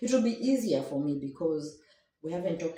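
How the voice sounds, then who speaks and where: A woman speaks with a very deep, low pitch. Her intonation is lively. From Kenya. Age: 60s. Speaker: matchmaking show guest. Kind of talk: interview. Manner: halting.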